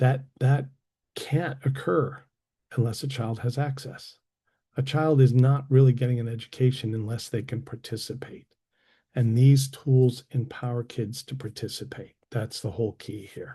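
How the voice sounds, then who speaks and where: A man's somewhat breathy voice carries a dark, mellow tone. His loudness swings widely. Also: medium pitch for a man, fairly even intonation, moderate pace, quiet background. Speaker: assistive technology consultant. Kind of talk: presentation.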